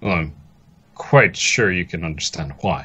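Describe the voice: Putting on a character voice, a man speaks at a fairly slow pace with a low pitch, a bright, sharp tone with a slightly husky edge, and lively intonation.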